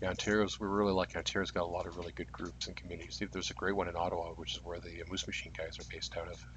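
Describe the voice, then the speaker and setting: This voice moves at a very fast pace, with a Canadian accent and vocal fry. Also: man. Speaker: livestream game commentator. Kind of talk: live commentary. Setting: furnace room, live stream.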